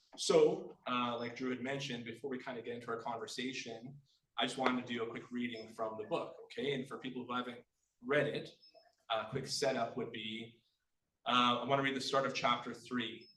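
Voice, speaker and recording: Speaking with a Manitoba accent, a man has a bright, sharp tone at a medium pitch, a moderate pace and fairly even intonation, with audible room echo. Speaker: author. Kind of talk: book launch reading and talk.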